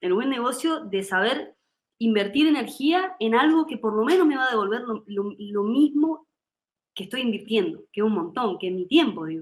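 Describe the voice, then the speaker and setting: A fairly high-pitched woman's voice with very wide pitch swings. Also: moderate pace. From Argentina, Córdoba. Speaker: musician and singer. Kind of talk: interview.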